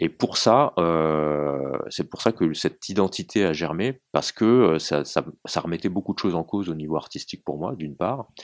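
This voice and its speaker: This man's very deep, low voice has lively intonation at a moderate pace with hardly any pauses. The sound is dry and close, with no echo. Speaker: novelist. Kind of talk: interview. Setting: small room. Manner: halting.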